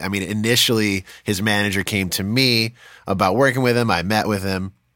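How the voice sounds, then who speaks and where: On a very clean recording with a silent background, a man uses a normal speaking voice at a medium pitch and moderate pace. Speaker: podcast host and musician. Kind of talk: casual interview chat.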